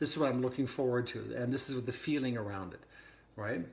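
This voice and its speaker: Against audible room echo, a man talks at a very fast pace in an excited tone, his pitch medium. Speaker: wellness coach. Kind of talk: podcast monologue. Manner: casual with frequent restarts; speeding up as he gets excited.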